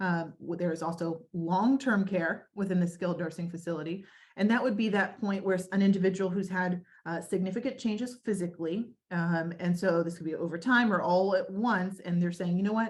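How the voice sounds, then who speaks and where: The voice sounds somewhat breathy, with ordinary pitch variation and hardly any pauses. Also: woman, medium pitch for a woman, fairly quick pace. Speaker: senior living community staff presenter. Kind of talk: webinar presentation. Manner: fast.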